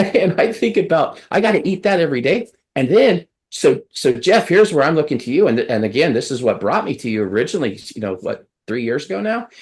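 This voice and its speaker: The voice moves at a fairly quick pace with very wide pitch swings. Vocal fry is present. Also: man, fairly high pitch for a man. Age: 60s. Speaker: bariatric surgery patient, podcast host. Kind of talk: casual chat. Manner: halting.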